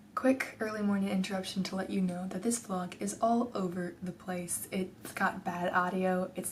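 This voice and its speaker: Noticeable background noise sits behind a voice with an American accent. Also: woman. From Texas. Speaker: book vlogger. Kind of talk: casual talk to camera.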